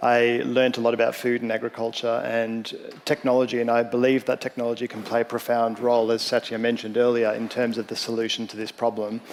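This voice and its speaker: Over noticeable background noise, a man with an Australian accent talks at a very fast pace in a monotone, flat intonation. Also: medium pitch for a man. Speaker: startup founder and CEO. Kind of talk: panel discussion.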